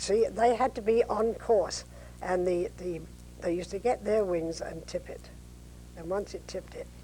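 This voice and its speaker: A woman with an East London accent speaks at a moderate pace, with big swings in loudness. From East End of London, England. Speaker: war veteran, war bride. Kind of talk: interview answer.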